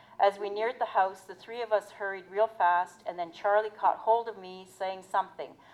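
With an unremarkable speaking voice, a woman talks at a moderate pace and a medium pitch, leaving hardly any pauses while her loudness swings widely. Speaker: historian and college professor. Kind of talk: reading aloud and talking about her book.

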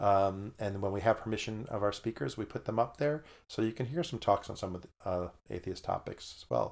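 Fairly low in pitch, a man with a normal speaking voice talks at a fairly quick pace. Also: ordinary pitch variation. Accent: American. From New York. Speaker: atheist podcast guest. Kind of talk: casual chat.

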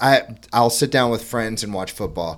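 With lively intonation and a medium pitch, a man has an unremarkable speaking voice in a very clean recording with a silent background. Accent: American. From Florida. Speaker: podcast host. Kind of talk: scripted intro; casual chat.

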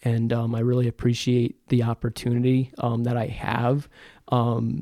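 In an upstate New York accent, a man of medium pitch speaks with a dark, mellow tone, and the sound is dry and close with no echo. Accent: upstate New York American. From North Country, upstate New York (Plattsburgh). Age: 20s. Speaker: communications manager and sports photographer. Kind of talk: casual interview.

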